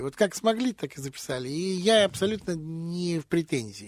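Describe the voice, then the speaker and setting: On a very clean recording with a silent background and a dry, close sound with no echo, a man speaks at a moderate pace in a high voice with lively intonation. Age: 60s. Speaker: jazz and blues vocalist. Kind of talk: radio interview.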